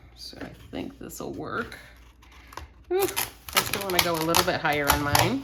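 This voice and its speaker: Fairly slow delivery with audible room echo. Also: woman. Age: 60s. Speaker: scrapbooking workshop instructor. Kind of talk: tutorial. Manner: casual, chatty.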